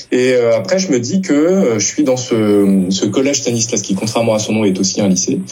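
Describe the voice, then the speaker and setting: Noticeable background noise sits behind a man's voice. Audible room echo is also present. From France. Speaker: novelist and literature teacher. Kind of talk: interview. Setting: book fair. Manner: hesitant, frequent word repetitions.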